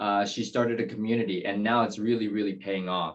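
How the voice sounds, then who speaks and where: A man's medium-pitched voice with a Taiwanese accent. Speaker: real estate agent, interview show host. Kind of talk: interview.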